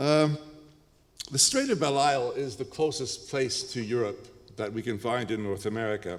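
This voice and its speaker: A man's ordinary speaking voice at medium pitch and moderate pace, with ordinary pitch variation. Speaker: professor. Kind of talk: lecture.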